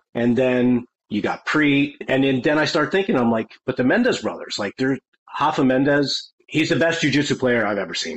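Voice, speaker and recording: It is an unremarkable speaking voice, a man's with an American accent at a fairly high pitch. He keeps a moderate pace and ordinary pitch variation. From Connecticut, US. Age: 40s. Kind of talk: casual interview chat.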